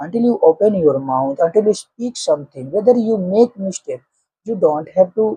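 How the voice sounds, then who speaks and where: Someone speaks at a moderate pace with an Indian accent. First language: Hindi. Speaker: English-speaking coach, YouTuber. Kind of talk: motivational talk to camera, unscripted.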